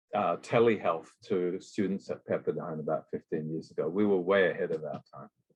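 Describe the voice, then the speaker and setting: This man speaks in an Australian accent. His pace is moderate. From Western Australia. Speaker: emergency physician. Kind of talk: interview.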